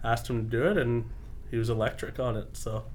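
A man with a medium-pitched voice speaks fairly quickly with fairly even intonation. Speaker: professional lacrosse goaltender. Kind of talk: casual sports chat. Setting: studio. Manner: soft-spoken.

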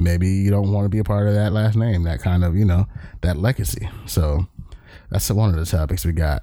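Speaking at a fairly quick pace with an American accent, a man with a very deep, low pitch and a dark, mellow tone keeps his loudness very even, with ordinary pitch variation. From Southern California (Long Beach). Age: 30s. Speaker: podcast host, Navy veteran. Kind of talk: casual monologue. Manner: casual, filler-heavy.

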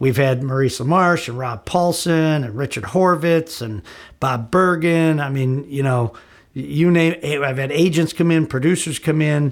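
A man speaks in a plain, everyday voice with an American accent, his pitch fairly high with ordinary variation. His pace is fairly slow. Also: very clean recording, silent background. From northern Illinois, US. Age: 50s. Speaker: voice actor. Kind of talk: recorded answers to a written interview. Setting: home office, rain on the roof.

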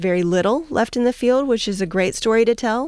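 On a very clean recording with a silent background, a normal speaking voice carries lively intonation. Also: woman. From US Southeast. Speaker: agricultural researcher. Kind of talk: radio interview. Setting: radio studio.

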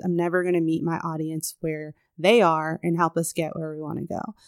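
A woman with an American accent speaks in a normal speaking voice at a fairly quick pace, with a fairly low pitch. The sound is dry and close with no echo, in a very clean recording with a silent background. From Chicago, US Midwest. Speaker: university athletics administrator. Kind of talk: interview conversation. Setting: in the host's home.

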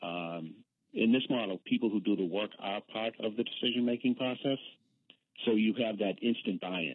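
A man with an American accent has a plain, everyday voice. He speaks at a moderate pace with fairly low pitch and ordinary pitch variation. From Boston. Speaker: accountant at a worker cooperative. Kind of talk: radio interview.

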